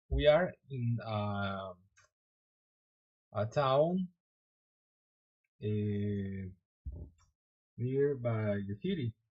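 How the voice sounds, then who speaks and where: A man speaks with a Spanish accent and sounds somewhat breathy. His pitch variation is ordinary. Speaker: software developer streamer. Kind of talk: live coding stream. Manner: halting.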